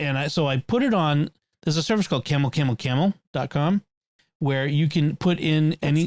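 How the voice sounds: A man with a Boston accent talks at a fairly quick pace in a fairly high voice, his pitch varying in an ordinary way and his loudness very even, on a very clean recording with a silent background and a dry, close sound with no echo.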